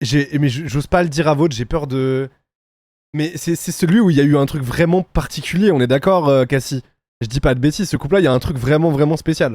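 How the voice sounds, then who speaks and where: This man talks at a fairly high pitch in an animated tone. His pace is fairly quick. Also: ordinary pitch variation. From France. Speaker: streamer reacting to reality TV. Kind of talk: casual reaction commentary.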